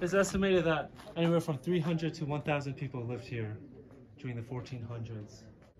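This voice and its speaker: A man speaks with lively intonation and a somewhat breathy sound. His pace is moderate. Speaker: documentary narrator. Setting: outdoors on location at the site.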